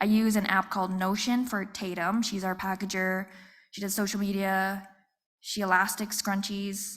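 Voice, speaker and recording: A soft-spoken woman talks at a medium pitch and a moderate pace. Her intonation is flat and monotone. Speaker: small business owner. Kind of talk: panel talk. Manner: quiet.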